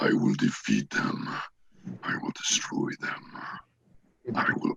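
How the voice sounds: At a very slow pace, a man uses a put-on character voice with a menacing tone.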